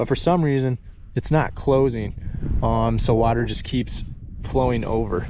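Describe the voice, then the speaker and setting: A man speaks rather slowly. Background noise is clearly audible. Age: 20s. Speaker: rancher. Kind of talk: casual talk to camera. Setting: outdoors.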